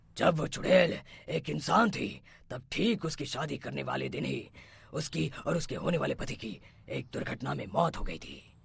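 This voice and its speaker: A man's cartoonish character voice at a moderate pace. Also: fairly high pitch for a man. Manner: authoritative.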